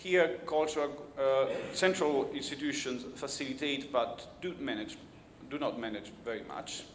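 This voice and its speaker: Over noticeable background noise and audible room echo, a man talks at a moderate pace in a fairly high pitch with ordinary pitch variation. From Italy. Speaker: keynote speaker on cultural policy. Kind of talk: keynote speech. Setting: conference stage with audience. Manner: halting, with false starts.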